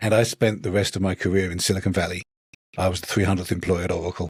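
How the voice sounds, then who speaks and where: A man's very deep, low, somewhat breathy voice with a British accent, very fast pace and fairly even intonation, in a dry, close sound with no echo. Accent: British, noticeable. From England. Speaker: author, former software engineer. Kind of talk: podcast interview.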